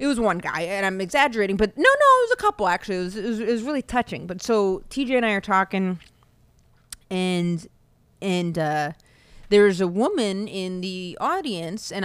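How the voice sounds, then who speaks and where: Here is a normal speaking voice, a woman at medium pitch who talks at a moderate pace with lively intonation. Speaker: podcast host. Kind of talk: casual solo monologue.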